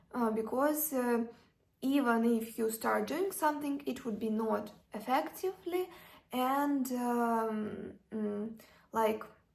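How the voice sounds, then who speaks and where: Very slowly, a woman speaks with a non-native accent and a fairly high pitch. Her intonation is lively. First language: not English. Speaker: self-development vlogger. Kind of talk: casual advice talk. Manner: halting, many fillers.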